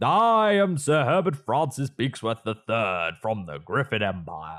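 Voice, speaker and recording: Putting on a character voice, a man swings his pitch very widely. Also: medium pitch for a man, fairly slow pace. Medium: audio drama. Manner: pompous, formal.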